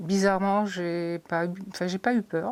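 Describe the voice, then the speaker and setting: A woman's medium-pitched voice, monotone and flat, in a very clean recording with a silent background. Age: 50s. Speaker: breast cancer patient. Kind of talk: testimony.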